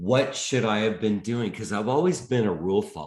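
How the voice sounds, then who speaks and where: A man with a fairly low pitch and an American accent. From US, Portland. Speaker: health and detox coach. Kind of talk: interview. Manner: animated.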